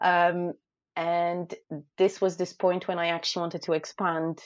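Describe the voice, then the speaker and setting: A woman with a Polish accent speaks at a moderate pace. Her pitch is fairly low. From Poland. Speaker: food photographer and blogger. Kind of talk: casual interview.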